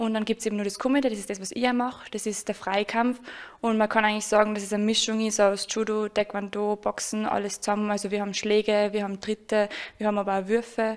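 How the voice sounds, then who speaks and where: Over a quiet background, a woman rattles off words at a very fast pace, her fairly high pitch kept monotone and flat. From Austria, Salzburg; Austria. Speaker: karate athlete. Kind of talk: interview. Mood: friendly, smiling. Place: home room. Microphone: handheld.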